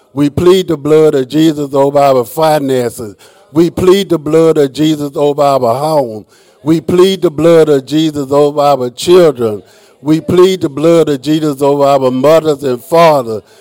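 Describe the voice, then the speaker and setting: There is noticeable background noise as a man speaks at a fairly slow pace, his pitch fairly high and his intonation fairly even. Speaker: worship leader. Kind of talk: opening welcome and congregational prayer. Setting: church.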